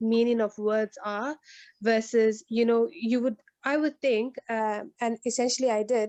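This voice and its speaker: A woman with a South African accent speaks at a fairly slow pace in a fairly high voice with a dark, mellow tone and flat, monotone intonation, recorded dry and close with no echo against a quiet background. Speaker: agile coach. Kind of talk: online meetup discussion. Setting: video call.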